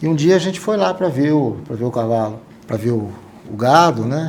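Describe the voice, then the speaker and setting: With lively intonation, a man speaks at a moderate pace over noticeable background noise. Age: 60s. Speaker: podcast host. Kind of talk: casual interview chat. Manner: halting, self-correcting.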